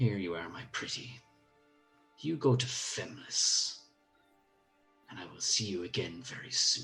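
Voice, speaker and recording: Over faint music in the background, a man puts on a character voice at medium pitch, with lively intonation, big swings in loudness, and long, frequent pauses. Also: moderate pace. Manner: soothing, gentle.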